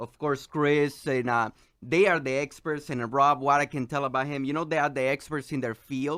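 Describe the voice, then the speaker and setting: On a very clean recording with a silent background, a man talks at a fairly high pitch with fairly even intonation. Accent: Salvadoran. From El Salvador. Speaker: economist and financial advisor guest. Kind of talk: radio interview, telling personal story. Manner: halting, many fillers and repetitions.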